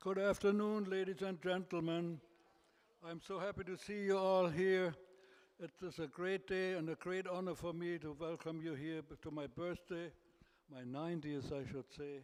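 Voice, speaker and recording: With a German accent, a man speaks at a high pitch and moderate pace, his intonation fairly even. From Germany. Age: 80s+. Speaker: birthday celebrant. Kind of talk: speech to guests. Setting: birthday party with audience.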